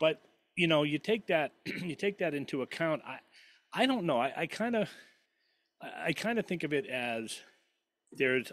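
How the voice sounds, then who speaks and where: On a very clean recording with a silent background, a man speaks at a moderate pace with long, frequent pauses. His voice is fairly high in pitch and makes very wide pitch swings. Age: 60s. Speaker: podcast guest. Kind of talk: political debate. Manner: halting, many repeated words.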